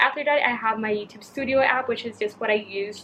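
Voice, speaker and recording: Her pitch is fairly high, with ordinary pitch variation. The woman speaks at a moderate pace over noticeable background noise. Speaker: youtuber. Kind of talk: tutorial. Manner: casual, filler-heavy.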